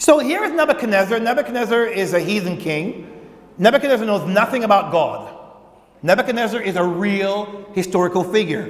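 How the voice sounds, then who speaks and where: The pace is moderate. A man speaks with lively intonation. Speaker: pastor preaching. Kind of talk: sermon. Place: church. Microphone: lapel.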